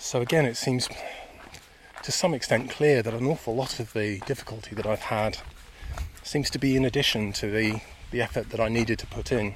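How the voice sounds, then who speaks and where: Over noticeable background noise, a man with a medium pitch and ordinary pitch variation talks at a fairly quick pace, with long, frequent pauses. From England, Buckinghamshire (Chilterns). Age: 50s. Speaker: podcaster, meditation practitioner. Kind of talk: reflective monologue. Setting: outdoors on a walk.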